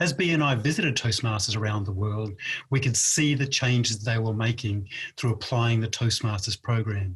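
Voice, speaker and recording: Here a man with an Australian accent speaks at a moderate pace and medium pitch, with ordinary pitch variation. His voice is somewhat breathy and very even in loudness. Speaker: past president of a speaking club organization. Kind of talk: inspirational speech. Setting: virtual convention video.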